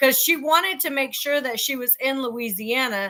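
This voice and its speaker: A woman speaks in a raised, projected voice at a high pitch. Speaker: co-commentator. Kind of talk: casual chat. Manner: loud.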